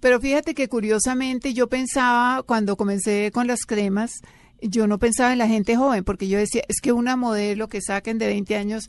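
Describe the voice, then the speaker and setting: In an ordinary speaking voice, a woman with a fairly high pitch talks at a moderate pace with ordinary pitch variation. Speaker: former TV actress and beauty author. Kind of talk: casual interview chat.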